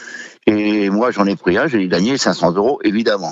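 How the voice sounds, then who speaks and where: The man's pitch is fairly low. It shows ordinary pitch variation. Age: 60s. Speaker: butcher, former gambling addict. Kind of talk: testimony. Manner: hesitant, many fillers.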